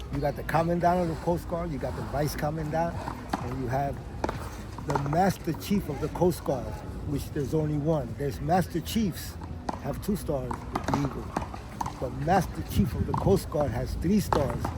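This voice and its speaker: With an American accent, the speaker talks at a moderate pace over noticeable background noise. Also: man. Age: 60s. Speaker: war veteran. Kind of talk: casual chat.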